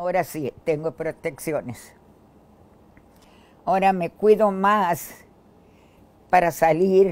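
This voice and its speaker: A woman speaks at a very slow pace in a fairly low pitch, with long, frequent pauses. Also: ordinary pitch variation. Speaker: COVID-19 survivor. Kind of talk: testimony. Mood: grateful, earnest pleading. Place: home room. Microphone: lapel.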